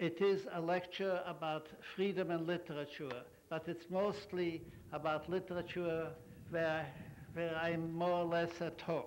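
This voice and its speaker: Someone speaks in a monotone, flat intonation at a fairly slow pace. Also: man, high pitch for a man. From Poland. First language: Yiddish. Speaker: author. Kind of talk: commencement speech remarks. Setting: outdoors.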